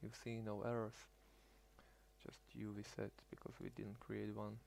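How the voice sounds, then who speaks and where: The speaker is a man with a non-native accent. He talks at a fairly slow pace. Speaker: hobbyist tutorial maker. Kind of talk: screen-recorded tutorial. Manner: halting, with fillers and restarts.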